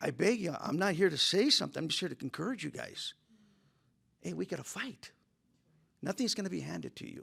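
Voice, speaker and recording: With an American accent, a man talks at a fairly quick pace, his loudness swinging widely. His pauses are long and frequent. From California. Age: 60s. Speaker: motivational speaker. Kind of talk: motivational talk.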